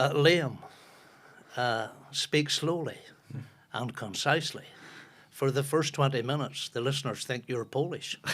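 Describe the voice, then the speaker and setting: With a strong Northern Irish accent, a man talks at a fairly slow pace in a fairly high pitch, his intonation fairly even and broken by long, frequent pauses. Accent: strong North Antrim Ulster Scots. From Northern Ireland, Ballymoney, North Antrim. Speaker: football broadcaster and former footballer. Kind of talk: casual chat.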